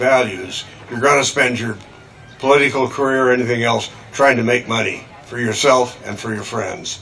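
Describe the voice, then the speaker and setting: There is noticeable background noise as a man speaks in a medium pitch. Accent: American. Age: 80s+. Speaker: conservation scientist. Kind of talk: rally speech. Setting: outdoor rally with audience. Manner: halting.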